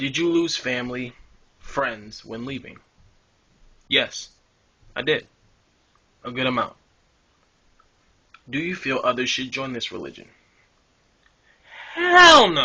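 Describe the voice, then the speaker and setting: A man mumbling at a fairly slow pace, with long, frequent pauses and big swings in loudness. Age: adult. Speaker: ex-religious video blogger. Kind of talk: personal testimony vlog. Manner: rambling, hesitant. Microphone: camera broken, makeshift recording.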